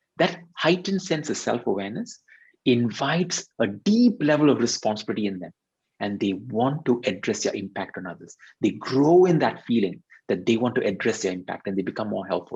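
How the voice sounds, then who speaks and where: Talking at a fairly quick pace with a Tamil accent, a man uses a medium pitch that makes very wide swings. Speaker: leadership consultant and workshop facilitator. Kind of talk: interview explanation on video webinar.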